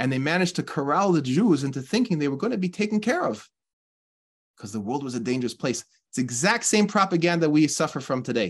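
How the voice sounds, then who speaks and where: Over a quiet background, a man speaks at a very fast pace. His pitch swings very widely. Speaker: religious teacher. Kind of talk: sermon. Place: home room. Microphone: webcam.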